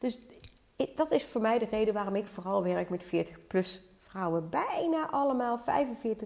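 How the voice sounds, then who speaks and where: A woman at a very slow pace with a fairly high pitch and very wide pitch swings, over noticeable background noise. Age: 50s. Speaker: weight-loss and hormone coach. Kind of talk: solo podcast monologue.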